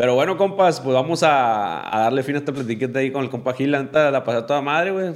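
A man talks very fast in a medium pitch, his pitch varying in an ordinary way. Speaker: podcast host. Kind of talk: casual chat. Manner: animated.

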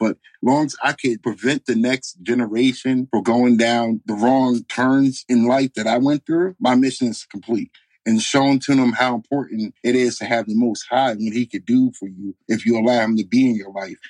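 An ordinary speaking voice, a man with an American accent talks at a moderate pace and medium pitch, with hardly any pauses and a dry, close sound with no echo. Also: fairly even intonation. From New York, Bronx and upstate. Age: 30s. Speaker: life coach podcaster. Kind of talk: casual interview chat. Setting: remote call.

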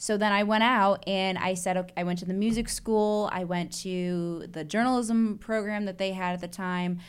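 A woman with an American accent has a normal speaking voice, medium pitch and fairly even intonation, speaking at a moderate pace with hardly any pauses. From Chicago. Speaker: investigative reporter. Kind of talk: casual chat.

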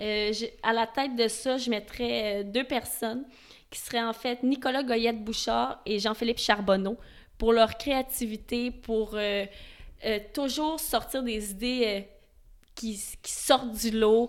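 A very slow, fairly evenly intoned delivery in a Quebec accent, with long, frequent pauses, in a very clean recording with a silent background. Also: woman, fairly high pitch for a woman. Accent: Québécois French. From Montreal, Quebec. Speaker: event safety specialist. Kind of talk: interview. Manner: passionate.

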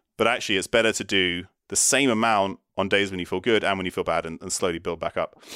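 Very fast and bright, sharp in tone, a man with a British accent speaks at a fairly low pitch with fairly even intonation. The recording is very clean, with a silent background. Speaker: neuroscientist and physician. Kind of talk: interview on brain health.

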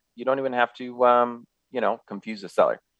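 The voice has an American accent. The sound is dry and close, without echo. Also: man. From Southern California, San Gabriel Valley. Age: 50s. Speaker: radio host, real estate investor. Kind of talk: casual radio talk. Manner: halting, many fillers.

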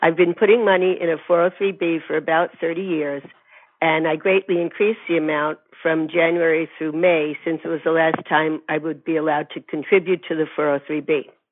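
This woman has an ordinary speaking voice with a fairly low pitch. She talks at a fairly quick pace with fairly even intonation. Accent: American. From California. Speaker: caller, retired teacher. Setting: phone call.

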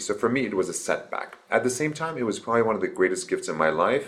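A man talks over noticeable background noise. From Iran. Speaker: obstetrician. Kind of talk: casual interview chat.

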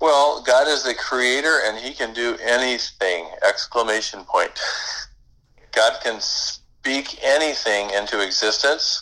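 With an unremarkable speaking voice, a man talks at a fairly slow pace and a medium pitch, with ordinary pitch variation. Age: 60s. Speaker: guest, small business owner. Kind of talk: casual conversation.

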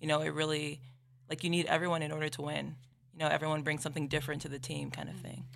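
With audible room echo, a woman talks very fast in a very deep, low, monotone voice marked by vocal fry. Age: 20s. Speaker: college volleyball player. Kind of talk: casual interview.

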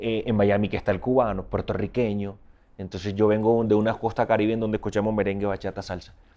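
On a very clean recording with a silent background, a man speaks with a dark, mellow tone and a fairly low pitch. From Colombian Caribbean coast, Barranquilla. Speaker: singer, musician. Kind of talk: interview. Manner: halting, repeats words.

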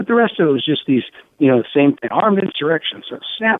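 His pitch swings very widely. This man's voice sits fairly high. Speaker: political journalist. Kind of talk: phone interview, political commentary. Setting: phone interview.

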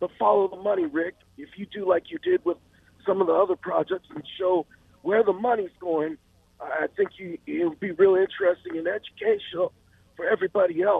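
A man's high-pitched voice at a fairly quick pace, with ordinary pitch variation and big swings in loudness. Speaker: caller. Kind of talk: phone call to radio talk show.

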